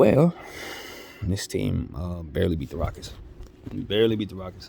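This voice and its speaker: A man speaks with a very deep, low pitch. His loudness swings widely, and noticeable background noise runs underneath. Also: ordinary pitch variation, moderate pace. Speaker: sports YouTuber. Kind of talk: casual vlog commentary. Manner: animated.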